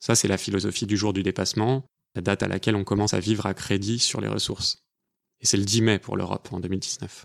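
A man with a fairly low pitch talks at a fairly quick pace. His intonation is monotone and flat, with vocal fry. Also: very clean recording, silent background. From France, Paris. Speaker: podcast co-host. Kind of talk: scripted narration.

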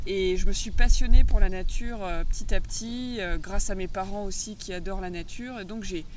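A woman talks at a moderate speed with ordinary pitch variation, her voice carrying audible room echo amid noticeable background noise. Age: 30s. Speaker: agroecology school founder and former agricultural teacher. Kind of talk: interview. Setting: outdoors by the sea.

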